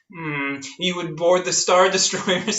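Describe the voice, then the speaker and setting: A man slips into a put-on character voice, pitched high and moving fairly slowly. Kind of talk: Shakespearean verse parody. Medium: audio drama.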